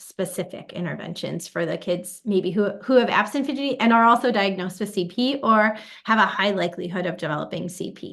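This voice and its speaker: In an American accent, a woman speaks at a medium pitch and moderate pace with ordinary pitch variation. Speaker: physical therapy researcher. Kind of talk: webinar interview. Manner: hesitant with fillers.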